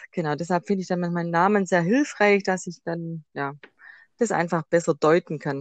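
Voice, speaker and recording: With a Swabian accent, a woman speaks at a fairly low pitch and moderate pace with ordinary pitch variation. The sound is dry and close with no echo, against a quiet background. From Swabia, Germany. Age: 30s. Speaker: tarot card reader. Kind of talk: interview.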